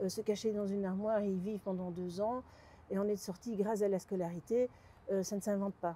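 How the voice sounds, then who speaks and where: Dark, mellow tone, monotone and flat intonation, and a fairly quick pace. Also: woman, medium pitch for a woman. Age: 60s. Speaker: abuse survivor giving testimony. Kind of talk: interview testimony. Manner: halting, with many repetitions.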